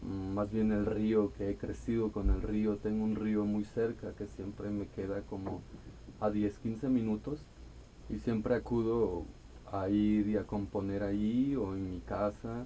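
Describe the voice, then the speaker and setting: With an Oaxacan accent, a man speaks fairly slowly in a calm, dark, mellow tone, his fairly low voice keeping a fairly even intonation. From Mexico, Costa Chica of Guerrero (Xochistlahuaca). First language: Amuzgo (speaking Spanish). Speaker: singer-songwriter. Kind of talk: radio interview. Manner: calm, serene.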